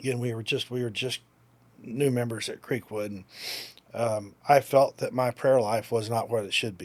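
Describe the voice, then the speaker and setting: With an ordinary speaking voice, a man talks at a moderate pace and a medium pitch with fairly even intonation. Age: 50s. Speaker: outreach pastor. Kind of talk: interview answer.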